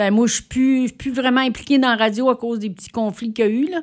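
In a very clean recording with a silent background, a woman's fairly high pitch comes through. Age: 70s. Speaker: community radio founder. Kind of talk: casual interview. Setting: studio.

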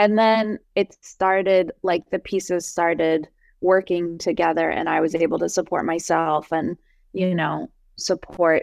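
In a quiet background, a woman with an American accent speaks in an ordinary speaking voice at a fairly low pitch. The intonation is fairly even, and the sound is dry and close with no echo. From US, New Jersey. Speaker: folk musician and violinist. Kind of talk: casual interview conversation.

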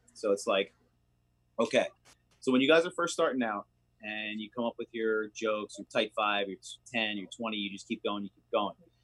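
In a dry, close recording with no echo, a man with a fairly low pitch speaks at a moderate pace with ordinary pitch variation, big swings in loudness and long, frequent pauses. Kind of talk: casual chat.

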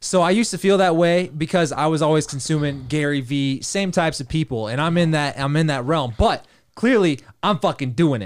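A man with a normal speaking voice talks at a fairly quick pace, fairly high in pitch with ordinary variation. The recording is very clean, with a silent background. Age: 30s. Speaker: podcast host. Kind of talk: casual chat.

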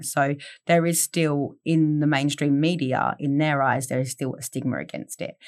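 In an Australian accent, the speaker delivers a monotone, flat line at a moderate pace on a very clean recording with a silent background. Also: woman. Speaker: content creator. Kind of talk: casual chat.

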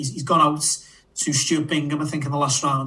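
A man with a Liverpool accent talks at a very fast pace in a fairly high, flat monotone. Audible room echo and noticeable background noise surround him. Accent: Scouse. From Liverpool, England. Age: 30s. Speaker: podcast co-host and horse racing tipster. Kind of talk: casual chat.

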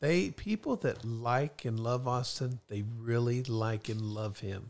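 In a very clean recording with a silent background, a man speaks very slowly with fairly even intonation. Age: 50s. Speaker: guest parent. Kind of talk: casual chat. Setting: studio.

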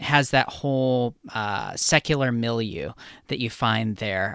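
A man speaks at a fairly slow pace with ordinary pitch variation in a plain, everyday voice, on a very clean recording with a silent background. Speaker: podcast host. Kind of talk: interview.

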